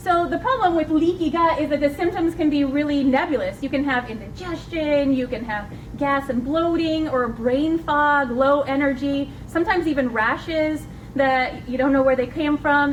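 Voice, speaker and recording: A woman with a high voice speaks at a moderate pace and ordinary pitch variation. Noticeable background noise and audible room echo fill the recording. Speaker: nurse practitioner. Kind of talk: lecture.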